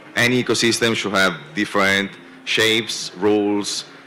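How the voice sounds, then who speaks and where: Against noticeable background noise, a man with a non-native accent speaks in a fairly low pitch. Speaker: venture capital investor. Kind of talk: panel discussion. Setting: conference stage with audience.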